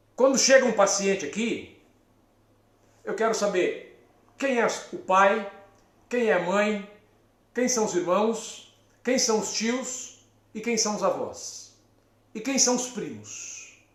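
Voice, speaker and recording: A man speaks at a very slow pace with long, frequent pauses and audible room echo. His pitch is high, with ordinary variation. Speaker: psychologist. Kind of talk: live stream talk. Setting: live stream from therapy office.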